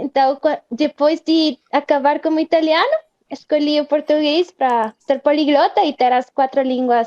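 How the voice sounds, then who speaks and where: A woman's high-pitched voice at a fairly slow pace, ordinary pitch variation and very even loudness, in a dry, close sound with no echo. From Guatemala. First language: Spanish (speaking Portuguese). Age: 20s. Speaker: Portuguese learner. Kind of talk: casual interview.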